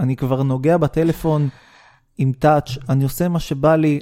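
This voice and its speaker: The recording is dry and close, with no echo. The voice has a dark, mellow tone. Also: man. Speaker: podcast co-host. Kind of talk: casual chat.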